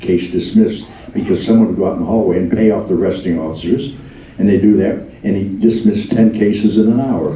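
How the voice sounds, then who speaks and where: A man talks at a very fast pace in a fairly low pitch. There is audible room echo and noticeable background noise. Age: 90s. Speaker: memoirist. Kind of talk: Q&A talkback. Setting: stage with audience.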